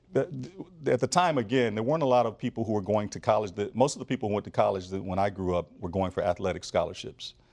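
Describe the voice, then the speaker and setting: Speaking at a very fast pace in an American accent, a man uses lively intonation at a fairly low pitch. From Flint, Michigan. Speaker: business school dean. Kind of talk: interview. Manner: halting with fillers.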